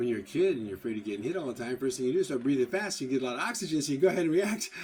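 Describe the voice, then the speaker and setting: A man talks very fast with an American accent at a medium pitch. His pitch swings very widely. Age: 70s. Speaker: architectural salvage dealer. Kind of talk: live stream monologue. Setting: live stream.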